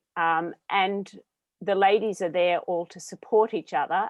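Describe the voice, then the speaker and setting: With an Australian accent, a woman speaks at a moderate pace and medium pitch, her intonation fairly even. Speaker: business owner. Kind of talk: panel discussion.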